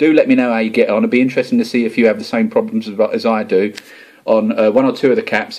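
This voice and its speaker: A man with an Essex accent at a very fast pace. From England, Essex. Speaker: homebrewing video blogger. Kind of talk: casual vlog talk to camera. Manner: informal, chatty.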